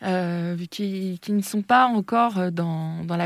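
A woman with a medium pitch and fairly even intonation is heard in a very clean recording with a silent background and a dry, close sound with no echo. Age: 30s. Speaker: entrepreneur. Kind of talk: interview.

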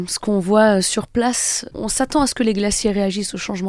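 A woman with an ordinary speaking voice talks at a moderate pace, medium in pitch and fairly even in intonation. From French Alps, Haute-Savoie (Annecy area). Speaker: glaciologist and author. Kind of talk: radio interview.

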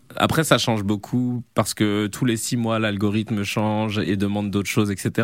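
A fairly low-pitched man at a moderate pace, with monotone, flat intonation. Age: 30s. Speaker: comedian and video creator. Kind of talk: interview. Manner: hesitant, many fillers.

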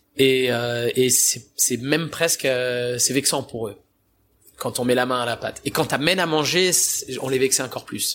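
A man with a plain, everyday voice, medium in pitch, at a fairly slow pace and with fairly even intonation. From France, Italian family. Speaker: pizza chef. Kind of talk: interview. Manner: casual.

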